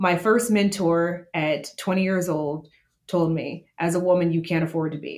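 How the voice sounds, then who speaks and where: The woman has an American accent and an ordinary speaking voice with a fairly low pitch. Her intonation is fairly even and her pace moderate. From Las Vegas, US. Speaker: hospitality consultant. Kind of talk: interview. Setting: video call.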